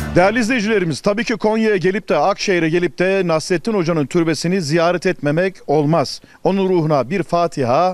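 Moderately paced, a man talks at a high pitch with ordinary pitch variation and very even loudness, in a dry sound with no echo. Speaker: travel show host; TV travel show host. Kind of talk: casual on-location chat; presenter commentary to viewers. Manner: animated. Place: open country. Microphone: handheld.

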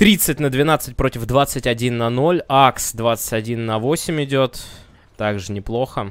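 This is an ordinary speaking voice from a man. His pitch varies in an ordinary way. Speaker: esports commentator. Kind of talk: live esports commentary. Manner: excited, brisk play-by-play.

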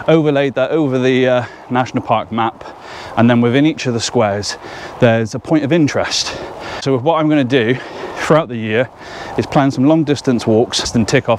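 Over light background noise, a man speaks at a moderate pace with fairly even intonation and long, frequent pauses, the sound dry with no echo. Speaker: hiker vlogger. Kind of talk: casual vlog chat. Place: open country. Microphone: phone near.

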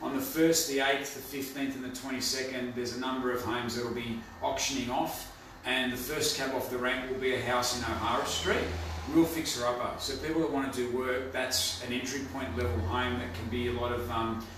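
A man at a fairly quick pace with fairly even intonation, audible room echo and noticeable background noise. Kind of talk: market update talk to camera. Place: office. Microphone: camera far.

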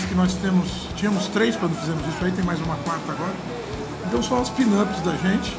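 Loud background noise accompanies speech delivered at a fairly quick pace. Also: man, ordinary pitch variation. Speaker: interviewee. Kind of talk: interview answer. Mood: relaxed, chatty. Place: bar. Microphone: handheld.

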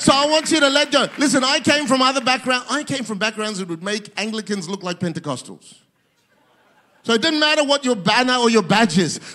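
A man speaks at a fairly quick pace in an extremely high pitch, his raised, projected voice carrying an animated tone and lively intonation. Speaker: pastor. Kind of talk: sermon. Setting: church with audience, streamed to multiple locations. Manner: animated, fervent preacher in full flow, building to a rousing call to worship. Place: church. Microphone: handheld.

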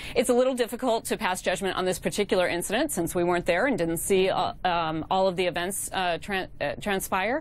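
Speaking at a fairly quick pace, a woman uses ordinary pitch variation and hardly any pauses. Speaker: remote news guest. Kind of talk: interview answer. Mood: calm, explanatory. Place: studio. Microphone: lapel.

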